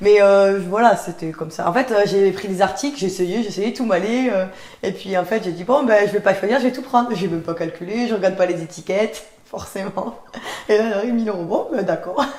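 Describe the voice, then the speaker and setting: A woman with a Toulouse accent speaks at a fairly quick pace in a medium pitch. Her pitch varies in an ordinary way, and there is noticeable background noise. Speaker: podcast host, online content trainer. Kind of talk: casual chat.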